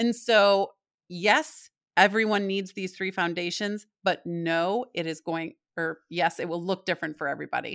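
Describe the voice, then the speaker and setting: A woman with an unremarkable speaking voice talks at a medium pitch and moderate pace with ordinary pitch variation, on a very clean recording with a silent background. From US Midwest (Michigan). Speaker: parenting author and speaker. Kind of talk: interview.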